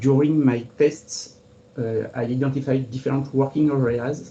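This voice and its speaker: A man with a French accent, medium-pitched and somewhat breathy, dark and mellow in tone, fairly slow, with flat, monotone intonation. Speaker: cartographer. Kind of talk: webinar presentation. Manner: formal.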